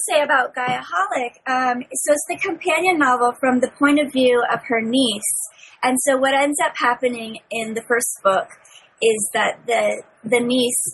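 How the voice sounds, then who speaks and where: Over noticeable background noise, a woman speaks at a high pitch and a moderate pace with lively intonation. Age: 30s. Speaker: young adult novelist. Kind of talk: casual chat.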